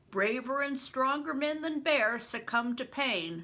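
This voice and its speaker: This is a put-on character voice with lively intonation. The pace is fairly slow. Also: woman, high pitch for a woman. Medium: read story. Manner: terse, suspicious.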